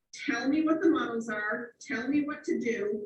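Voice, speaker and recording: A woman with an American accent speaks at a high pitch with lively intonation. Room echo is audible around her voice. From Cape Cod, Massachusetts. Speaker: real estate team leader and trainer. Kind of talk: training session. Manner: fast.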